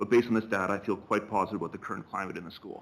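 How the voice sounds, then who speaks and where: With a Canadian accent, a man talks at a very fast pace in a fairly low pitch. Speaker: school principal. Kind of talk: presentation. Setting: board meeting.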